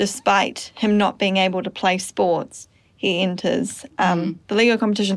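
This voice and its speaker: Someone with a New Zealand accent speaks at a moderate pace with fairly even intonation. The recording is very clean, with a silent background. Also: woman. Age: 20s. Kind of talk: casual chat. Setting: studio.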